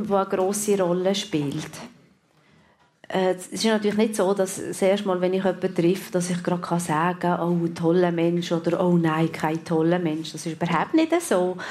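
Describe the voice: The woman's pitch is fairly low and her tone slightly mellow. She keeps a moderate pace and fairly even intonation.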